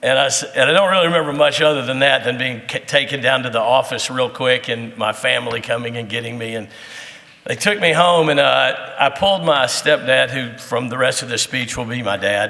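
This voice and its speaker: A man with a plain, everyday voice speaks at a moderate pace and medium pitch, using ordinary pitch variation. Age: 60s. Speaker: teacher and soccer coach. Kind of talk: speech to audience. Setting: breakfast event with audience. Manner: conversational, with many fillers.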